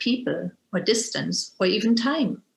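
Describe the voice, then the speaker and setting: Somewhat breathy, a woman with a German accent speaks in a fairly high pitch with ordinary pitch variation. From Germany. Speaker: interfaith educator and Zen teacher. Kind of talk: lecture. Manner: formal.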